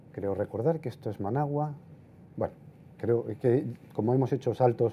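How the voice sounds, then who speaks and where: Against light background noise, a man talks fairly quickly in a dark, mellow tone with ordinary pitch variation. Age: 50s. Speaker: portrait photographer. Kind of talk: lecture. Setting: stage with audience. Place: hall.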